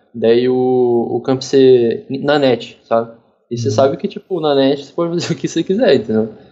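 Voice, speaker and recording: A man talks in a normal speaking voice at a medium pitch. He keeps a moderate pace with ordinary pitch variation. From Curitiba, southern Brazil. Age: 20s. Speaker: professional esports player. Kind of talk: casual interview.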